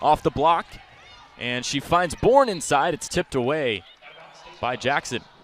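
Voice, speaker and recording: Noticeable background noise surrounds the clip. A man with a fairly high pitch speaks at a moderate pace. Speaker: basketball play-by-play broadcaster. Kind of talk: live college basketball TV play-by-play.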